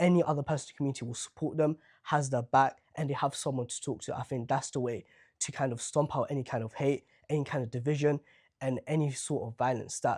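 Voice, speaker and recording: Very fast and fairly even in intonation, a man with a London accent speaks at a fairly high pitch in a dry, close recording with no echo, very clean against a silent background. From Southwark, London. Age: young. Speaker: local council candidate. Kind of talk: interview answer.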